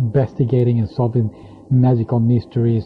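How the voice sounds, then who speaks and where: A man with a non-native accent and medium pitch. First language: not English. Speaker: anime magazine reviewer. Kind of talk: solo casual review. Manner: halting, many fillers.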